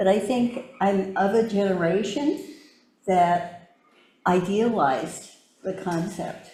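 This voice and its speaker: With audible room echo around her, a woman speaks very slowly at a medium pitch, her intonation lively. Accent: American. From US, Japanese American community. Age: 70s. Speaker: community speaker on civic engagement. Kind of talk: personal talk / testimony.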